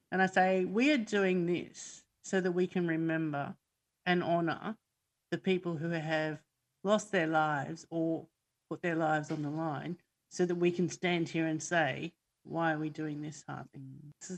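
Against a quiet background, a woman with an Australian accent talks at a fairly slow pace with fairly even intonation. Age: 50s. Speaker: army reservist and emergency volunteer. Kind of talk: casual interview. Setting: video call.

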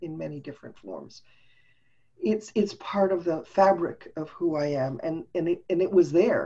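A woman talks in an ordinary speaking voice at a fairly low pitch. Her pace is moderate and her pitch variation ordinary. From Montreal, Canada. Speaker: business coach and speaker. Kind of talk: casual interview chat. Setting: video call.

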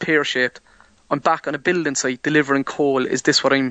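In an Irish accent, a man speaks very fast at a fairly high pitch, his intonation monotone and flat. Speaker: hurdler. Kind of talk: interview.

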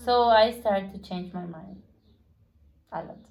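A woman with a Spanish accent speaks in a somewhat breathy, medium-pitched voice with ordinary pitch variation. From Guatemala. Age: 20s. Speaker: Spanish teacher. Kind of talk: casual interview. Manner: halting.

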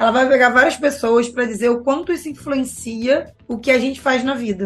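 Over noticeable background noise, a woman speaks in an animated tone at a high pitch. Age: 40s. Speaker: behavioral finance educator. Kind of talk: casual interview chat.

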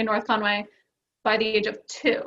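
The woman's fairly high voice has a bright, sharp tone. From Maine, South Portland. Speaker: ski industry marketing manager. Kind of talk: casual interview.

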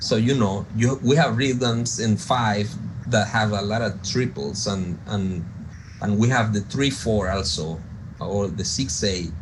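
A man with a Spanish accent, fairly low in pitch, with ordinary pitch variation and audible room echo. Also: fairly slow pace. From coastal Venezuela. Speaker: jazz pianist and producer. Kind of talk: interview.

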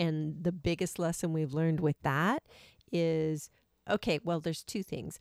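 In an American accent, a woman with an ordinary speaking voice talks at a fairly slow pace and fairly low pitch, her intonation fairly even, on a very clean recording with a silent background and a dry, close sound with no echo. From Washington State. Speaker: podcast co-host, full-time RVer. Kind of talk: casual chat. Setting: in an RV.

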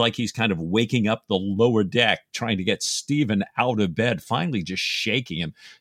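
A man's normal speaking voice, medium-pitched, with ordinary pitch variation and a moderate pace, dry and close with no echo, in a very clean recording over a silent background. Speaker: podcast co-host. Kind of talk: casual book discussion.

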